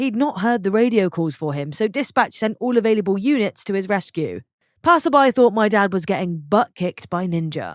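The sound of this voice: With lively intonation, an unforced reading voice is heard against a quiet background.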